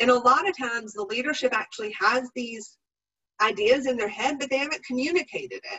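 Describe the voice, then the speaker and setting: The speaker talks at a fairly quick pace with lively intonation and big swings in loudness. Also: woman, high pitch for a woman. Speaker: professional development presenter. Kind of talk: webinar presentation.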